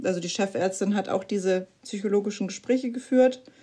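A woman talks at a moderate pace in a dark, mellow tone. Her pitch varies in an ordinary way. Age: 30s. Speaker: mother sharing postpartum depression experience. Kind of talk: interview testimony.

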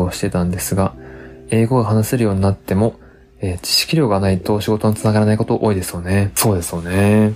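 Against noticeable background noise, a man talks in a relaxed tone at a fairly low pitch. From Japan, Tottori. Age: 30s. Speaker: English teacher and podcast host. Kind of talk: casual solo talk. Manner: relaxed, conversational.

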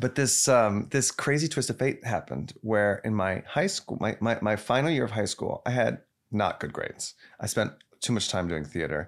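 With an American accent, a man of medium pitch talks at a moderate pace with lively intonation and vocal fry. The recording is very clean, with a silent background. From Texas, Plano (Dallas suburb). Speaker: actor. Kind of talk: casual chat. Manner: halting, frequent repetitions.

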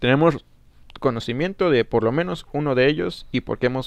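With vocal fry and lively intonation, a man speaks at a moderate pace and medium pitch. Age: 20s. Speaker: podcast host, recent law graduate. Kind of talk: solo political commentary. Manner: hesitant, many fillers.

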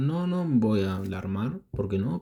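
A man speaks in a Rioplatense accent at a fairly low pitch. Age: 20s. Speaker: football podcast host. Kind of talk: casual solo commentary.

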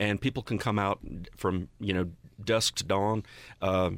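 Recorded very cleanly against a silent background, with a dry, close sound and no echo, a man with an American accent speaks at a fairly low pitch, using ordinary pitch variation and vocal fry. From Western North Carolina. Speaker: nonprofit land conservation staffer. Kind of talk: interview. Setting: studio.

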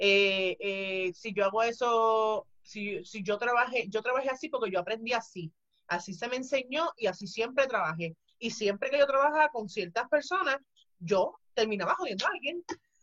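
A woman has an unremarkable speaking voice with a fairly high pitch. She moves at a moderate pace with lively intonation. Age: 30s. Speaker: retired pro wrestler. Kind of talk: casual interview.

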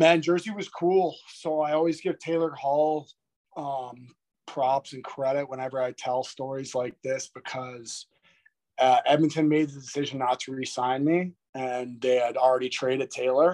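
A man with an Ontario accent talks at a moderate pace in a fairly high pitch, with fairly even intonation and big swings in loudness. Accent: Canadian (Ontario). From Toronto, Ontario, Canada. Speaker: retired pro hockey player. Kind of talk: casual interview chat.

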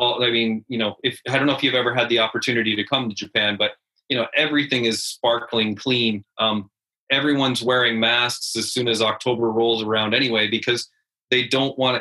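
With a Canadian accent, a man talks at a fairly quick pace in a monotone, flat intonation. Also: medium pitch for a man. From rural Canada. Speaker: head teacher. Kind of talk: interview.

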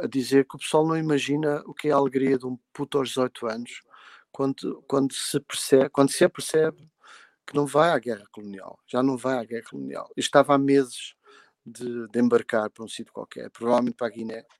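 Loudness swings widely as a man of medium pitch speaks at a fairly quick pace with fairly even intonation, the sound dry and close with no echo. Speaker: musician. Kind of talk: casual chat.

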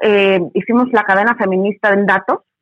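A woman's voice, with a dry, close sound and no echo. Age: 40s. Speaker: feminist educator. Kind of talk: interview.

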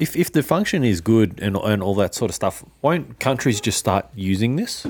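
Lively intonation marks this man's Australian accent as he speaks at a moderate pace on a very clean recording with a silent background. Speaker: finance podcast co-host. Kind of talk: casual chat.

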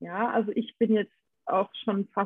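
A woman with an unremarkable speaking voice talks fairly slowly at a fairly high pitch. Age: 40s. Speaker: podcast co-host. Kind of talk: casual chat.

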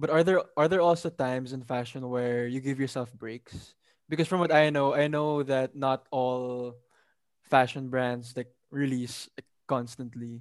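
At a fairly slow pace, a man talks in a normal speaking voice. His pitch is medium and his intonation fairly even. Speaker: podcast co-host. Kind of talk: casual interview.

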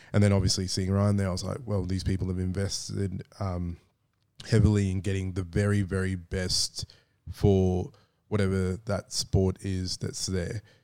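A man speaks at a moderate pace in a very deep, low, dark and mellow voice with monotone, flat intonation. The recording is very clean with a silent background. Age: 30s. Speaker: podcast co-host. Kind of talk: casual chat. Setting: studio.

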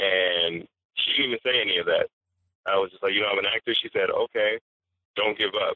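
A man talks at a fairly quick pace with a Californian accent, leaving long, frequent pauses. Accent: Californian American English. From Los Angeles. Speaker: actor and playwright. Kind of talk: casual interview.

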